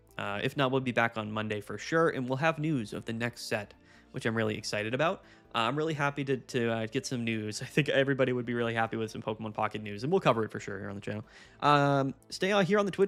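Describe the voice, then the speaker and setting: Over background music, a man talks at a very fast pace in a medium pitch with lively intonation. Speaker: gaming streamer. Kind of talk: live stream commentary. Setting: live stream. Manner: animated.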